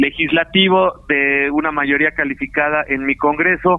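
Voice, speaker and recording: An ordinary speaking voice, fairly slow in pace, with fairly even intonation. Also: man. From Mexico, Morelos. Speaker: state prosecutor. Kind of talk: phone interview. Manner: formal.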